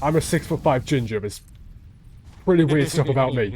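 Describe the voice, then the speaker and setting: Speaking fairly quickly with a British accent, a man has a fairly high pitch, a dark, mellow tone and ordinary pitch variation. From Britain. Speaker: game streamer. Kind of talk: casual chat. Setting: live stream with voice chat.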